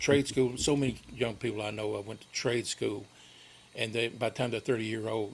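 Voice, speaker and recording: Against noticeable background noise, a man with an American accent talks at a fairly quick pace and medium pitch in a monotone, flat intonation. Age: 60s. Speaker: local community guest. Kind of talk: radio interview. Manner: halting.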